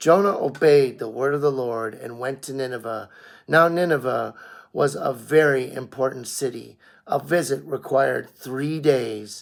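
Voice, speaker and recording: A man puts on a raspy character voice at a medium pitch. He keeps a moderate pace with big swings in loudness. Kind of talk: scripture reading. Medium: read story. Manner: measured, reverent.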